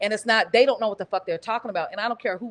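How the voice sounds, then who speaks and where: A woman speaks at medium pitch with ordinary pitch variation. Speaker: comedian. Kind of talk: casual podcast chat. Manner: fast.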